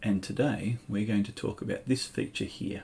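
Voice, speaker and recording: A man's fairly low voice, dark and mellow in tone, somewhat breathy, with ordinary pitch variation. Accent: Australian. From Australia. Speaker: school ICT teacher. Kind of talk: tutorial. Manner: clear dictation pace.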